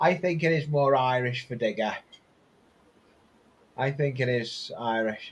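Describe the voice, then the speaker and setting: Somewhat breathy, a man speaks at a fairly slow pace and a medium pitch with ordinary pitch variation, leaving long, frequent pauses. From England, Wirral near Liverpool. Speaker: model railway hobbyist. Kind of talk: casual chat.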